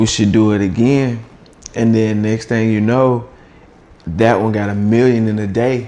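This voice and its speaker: With audible room echo, a man at medium pitch speaks fairly slowly in a flat monotone, leaving long, frequent pauses. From US South, Atlanta. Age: 30s. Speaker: content creator. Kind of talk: casual interview.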